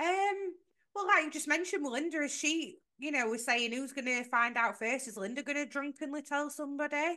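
Raised and projected, a woman's high-pitched voice carries a bright, sharp tone at a fairly quick pace with ordinary pitch variation. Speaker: podcast co-host. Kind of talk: casual chat.

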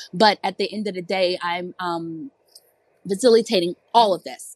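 An unremarkable speaking voice comes through with a dry, close sound and no echo. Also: woman. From Virginia. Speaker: single mom, parenting content creator. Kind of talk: casual chat.

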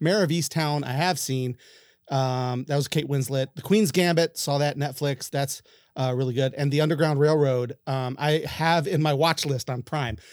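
On a very clean recording with a silent background, a man with an ordinary speaking voice and fairly high pitch speaks at a moderate pace with fairly even intonation. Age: 40s. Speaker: podcast host. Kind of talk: casual chat.

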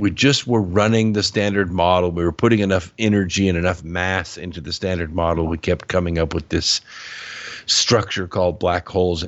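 A man with an American accent, a very deep, low pitch and fairly even intonation at a moderate pace. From Southern California (Pasadena). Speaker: author and public speaker. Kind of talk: podcast interview. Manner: halting.

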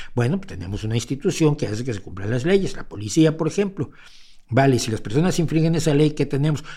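Speaking at a very fast pace, a man has a dark, mellow, somewhat breathy tone and lively intonation. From Mexico. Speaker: podcast host and commentator. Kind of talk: livestream commentary. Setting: home studio livestream. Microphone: mic close to face.

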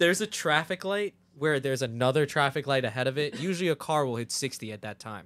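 A man with a New Jersey accent, very fast, animated in tone, with lively intonation. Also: fairly high pitch for a man. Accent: New Jersey American. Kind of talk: casual chat. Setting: studio.

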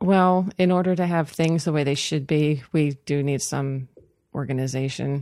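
A woman with an American accent speaks at a moderate pace in a very deep, low pitch, with a dark, mellow tone and ordinary pitch variation, on a very clean recording with a silent background. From western Maryland, Cumberland. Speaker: animal rescue founder. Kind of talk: interview.

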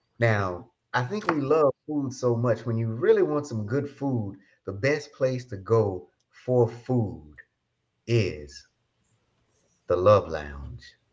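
Speaking at a very slow pace, a man uses a medium pitch and lively intonation. Long, frequent pauses run through his speech. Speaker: podcast host. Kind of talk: casual chat. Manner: animated.

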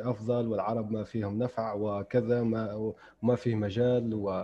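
Over noticeable background noise, a man at medium pitch speaks with fairly even intonation. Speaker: podcast host, writer and translator. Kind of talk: interview, casual chat. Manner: formal, polished intro.

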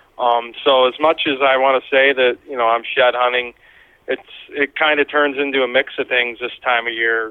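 A man with a Pennsylvania accent, medium-pitched, in a monotone with flat intonation. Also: moderate pace. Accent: Pennsylvania American. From northern Pennsylvania. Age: 30s. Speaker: deer hunter. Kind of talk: casual interview.

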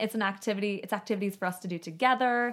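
With an American accent, a woman speaks at a fairly high pitch with ordinary pitch variation. It is an unremarkable speaking voice on a very clean recording with a silent background. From Chicago. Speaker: sustainability advocate. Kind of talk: casual chat. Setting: studio.

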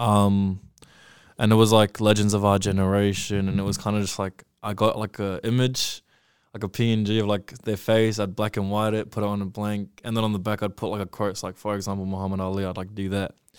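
On a very clean recording with a silent background, a man with a New Zealand accent talks at a fairly low pitch and fairly quick pace in a flat monotone. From New Zealand, South Auckland. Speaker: clothing brand founder. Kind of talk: casual chat. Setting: studio.

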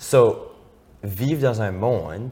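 A somewhat breathy male voice. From Acadia, Moncton, New Brunswick. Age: 20s. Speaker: drag queen and TikTok personality. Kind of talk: casual chat. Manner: animated.

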